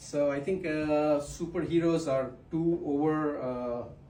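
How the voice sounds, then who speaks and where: The intonation stays fairly even, with audible room echo around the voice. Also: man. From Pakistan. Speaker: stand-up comedian. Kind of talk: stand-up. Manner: halting, many fillers.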